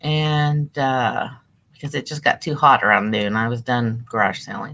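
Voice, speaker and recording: On a very clean recording with a silent background, a woman speaks at a very deep, low pitch in a bright, sharp tone. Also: ordinary pitch variation, moderate pace. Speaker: online reseller livestreamer. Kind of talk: casual livestream chat while listing items. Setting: live stream from home. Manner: casual, with fillers.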